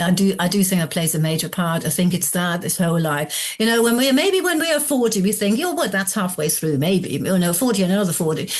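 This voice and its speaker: Somewhat breathy woman at a medium pitch, very fast with hardly any pauses, lively intonation and very even loudness. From northern Germany. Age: 60s. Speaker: complementary therapist and coach. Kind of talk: podcast interview.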